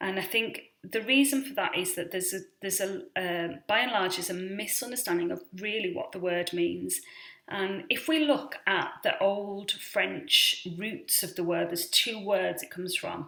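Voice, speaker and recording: A woman with a British accent speaks at a medium pitch with lively intonation. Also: moderate pace. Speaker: vlogger on rare disease. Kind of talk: casual explainer vlog. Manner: hesitant, many fillers.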